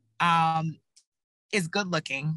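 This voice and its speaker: Against a quiet background, a woman with a slight Texas accent speaks in a bright, sharp tone. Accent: slight Texas twang. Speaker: political communication panelist, former candidate. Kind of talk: panel discussion.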